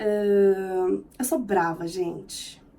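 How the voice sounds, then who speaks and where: A woman's dark, mellow tone with lively intonation. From Brazil, São Paulo city. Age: 30s. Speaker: vlogger. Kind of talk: casual vlog self-introduction. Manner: expressive.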